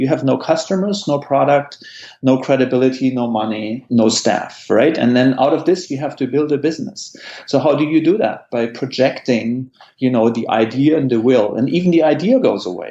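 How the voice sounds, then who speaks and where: Speaking in a German accent, a man has a dark, mellow tone and fairly high pitch. His pitch varies in an ordinary way, and his pace is moderate. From Germany. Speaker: tech entrepreneur. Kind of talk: interview.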